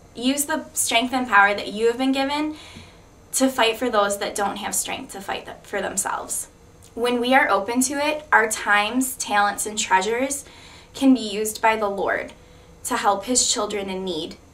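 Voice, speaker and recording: At a moderate pace, the voice shows ordinary pitch variation along with big swings in loudness. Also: woman. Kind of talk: testimony. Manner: blunt.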